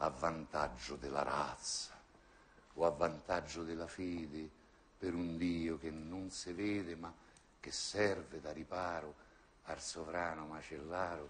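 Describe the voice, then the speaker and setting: A man speaks at a very slow pace in a very deep, low pitch. His intonation is monotone and flat. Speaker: actor. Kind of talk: poetry reading. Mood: ironic, bitter, theatrical. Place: stage.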